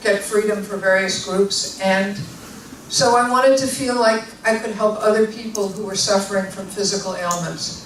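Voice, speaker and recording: A woman's medium-pitched voice at a moderate pace, with fairly even intonation, audible room echo and noticeable background noise. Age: 60s. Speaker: osteopathic physician and author. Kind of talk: public talk. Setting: library event with audience.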